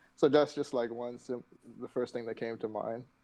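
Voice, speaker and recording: The man's voice carries a dark, mellow tone. His intonation stays fairly even. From Bahamas. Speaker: dance instructor and engineer. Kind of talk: casual interview.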